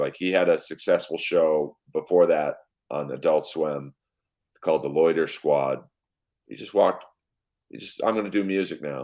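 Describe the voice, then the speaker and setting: At a moderate pace, a man is talking. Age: 50s. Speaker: comedian. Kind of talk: casual chat.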